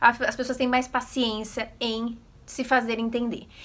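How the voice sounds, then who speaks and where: A woman's raised, projected voice, bright, sharp and animated in tone, at a fairly slow pace. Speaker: vlogger. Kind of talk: casual vlog talk.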